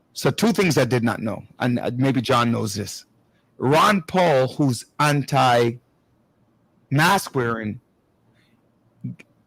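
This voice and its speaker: The voice belongs to a man, somewhat breathy and medium in pitch, with ordinary pitch variation. He talks at a very slow pace. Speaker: talk show host. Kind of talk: casual panel discussion. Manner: halting, many restarts.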